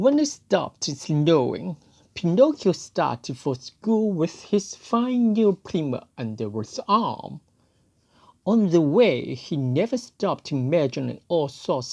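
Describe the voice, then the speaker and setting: Against a quiet background, a woman speaks very slowly, her pitch swinging very widely. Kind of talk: storybook read-aloud.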